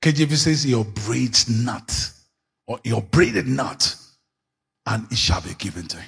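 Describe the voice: At a fairly slow pace, a man at medium pitch speaks with lively intonation, a fairly bright tone, vocal fry and a husky, rough edge.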